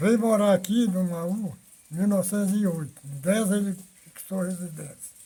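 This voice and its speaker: This voice belongs to a man. Its pitch rises and falls in an ordinary way. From northern Brazil, Roraima (Normandia area). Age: 90s. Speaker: elderly pioneer interviewee. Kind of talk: life-story interview.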